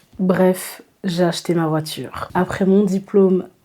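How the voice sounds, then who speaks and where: A woman speaks at a very slow pace in a dark, mellow tone with monotone, flat intonation. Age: 20s. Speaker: vlogger. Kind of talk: casual vlog.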